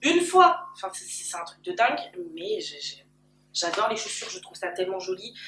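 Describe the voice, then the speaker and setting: The woman's voice has a bright, sharp tone. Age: 20s. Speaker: YouTuber. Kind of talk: personal vlog. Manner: loud. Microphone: camcorder built-in mic.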